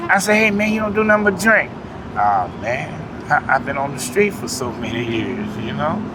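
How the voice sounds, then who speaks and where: A raised, projected voice with very wide pitch swings carries over noticeable background noise and audible room echo. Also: man, high pitch for a man, moderate pace. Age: 60s. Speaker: homeless former gang member. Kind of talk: street interview. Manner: casual, conversational.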